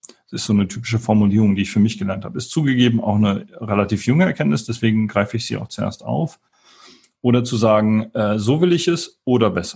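Very fast and somewhat breathy, a man speaks at a medium pitch with lively intonation. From western Germany, Wuppertal. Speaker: tech company founder and CEO. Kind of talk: interview. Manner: hesitant, many filler sounds.

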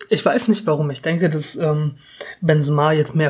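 A man's fairly high voice with ordinary pitch variation, amid noticeable background noise. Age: 20s. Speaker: football podcast host, student. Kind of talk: casual chat.

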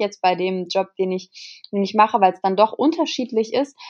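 A woman speaks at a moderate pace, her medium pitch moving with ordinary variation. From Germany, Kassel. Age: 20s. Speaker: model and influencer. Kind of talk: casual interview. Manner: hesitant, many fillers.

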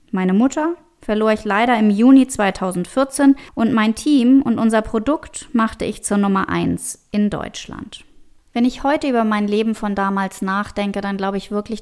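A woman with an ordinary speaking voice talks at a fairly slow pace and fairly high pitch, with ordinary pitch variation. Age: 40s. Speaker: mental and business coach. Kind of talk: solo podcast monologue.

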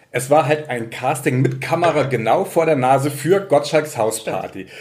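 A man's voice over noticeable background noise. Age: 30s. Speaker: local newspaper journalist. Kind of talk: casual chat.

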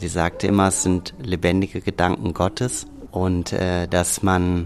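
Very slowly, a man speaks at a very deep, low pitch. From Hürth, Rhineland, Germany. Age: 40s. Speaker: organic herb farmer. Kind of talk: interview.

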